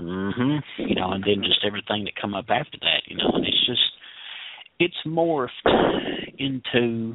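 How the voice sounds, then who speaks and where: A man with a Tennessee accent talks at a moderate pace with lively intonation, broken by long, frequent pauses. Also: medium pitch for a man. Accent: Tennessee Southern. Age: 30s. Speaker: caller. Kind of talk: casual call-in chat. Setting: phone call to radio show. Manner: repetitive, halting starts.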